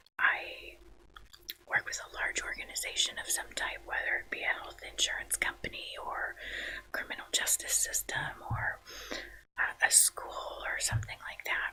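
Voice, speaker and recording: Whispering in a relaxed, calm tone, a man speaks at a moderate pace with long, frequent pauses and big swings in loudness over noticeable background noise. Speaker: social worker, ASMR channel host. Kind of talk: ASMR introduction talking to camera. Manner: relaxed, calm, conversational.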